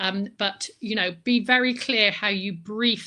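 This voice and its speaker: Bright and sharp in tone, a woman speaks with a West Country accent and ordinary pitch variation. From Bristol, West Country England. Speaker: book marketing consultant. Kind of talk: online presentation with slides. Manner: energetic.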